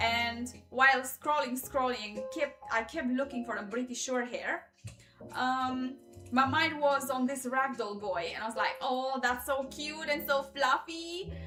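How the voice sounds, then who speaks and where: With music in the background, a woman with a strong Eastern European accent projects a raised, high-pitched voice at a fairly slow pace with ordinary pitch variation. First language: not English. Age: 30s. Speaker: YouTuber livestreamer. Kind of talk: casual livestream chat. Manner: halting.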